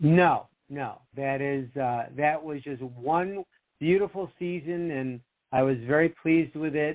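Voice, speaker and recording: This man has a plain, everyday voice with an American accent and a fairly high pitch. He speaks at a fairly slow pace with ordinary pitch variation. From Rochester, New York, US. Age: 60s. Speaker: author and TV producer. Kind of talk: interview chat.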